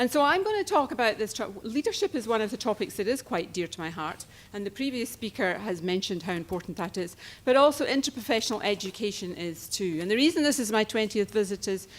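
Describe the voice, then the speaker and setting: Speaking at a very fast pace, a woman with a fairly high pitch has lively intonation. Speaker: conference speaker. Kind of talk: conference presentation.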